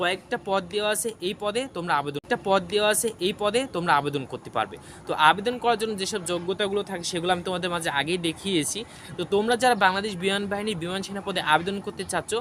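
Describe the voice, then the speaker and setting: Noticeable background noise sits behind this man's voice. He speaks at a high pitch with ordinary pitch variation. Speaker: job information video creator. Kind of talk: informational vlog.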